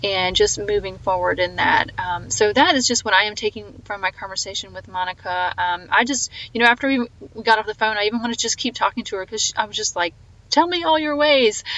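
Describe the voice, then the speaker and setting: With a slight Southern US accent, a woman talks at a very fast pace, her fairly high pitch rising and falling in lively intonation. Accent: slight Southern twang. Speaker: podcast host. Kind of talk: podcast outro monologue. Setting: phone call. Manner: animated.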